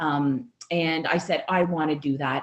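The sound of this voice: A woman speaks at a low pitch with fairly even intonation.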